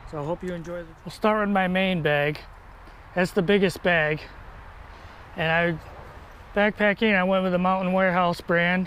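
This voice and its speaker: A man with a high pitch talks at a moderate pace in a monotone, flat way, leaving long, frequent pauses. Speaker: motorcycle vlogger. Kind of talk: gear tutorial. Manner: casual, hesitant with fillers.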